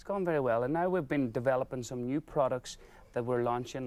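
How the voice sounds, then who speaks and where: A man with an Irish accent talks at a very fast pace and a medium pitch on a very clean recording with a silent background. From Ireland. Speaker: business owner. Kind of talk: TV interview.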